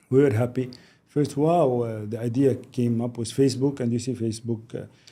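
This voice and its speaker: With a Lebanese accent, a man talks fairly quickly in a dark, mellow, medium-pitched voice and fairly even intonation. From Lebanon. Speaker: business executive. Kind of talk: podcast interview.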